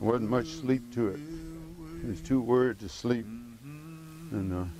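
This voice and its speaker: A man talks with a Mississippi accent. Noticeable background noise runs behind him. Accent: Southern US (Mississippi). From Mississippi, USA. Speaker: cowboy and miner. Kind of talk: documentary interview, personal account. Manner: soft-spoken.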